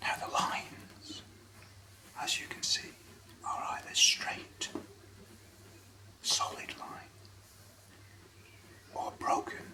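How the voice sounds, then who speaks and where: Someone whispers at a very slow pace with long, frequent pauses. There is noticeable background noise. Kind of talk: ASMR whisper reading. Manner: whispered.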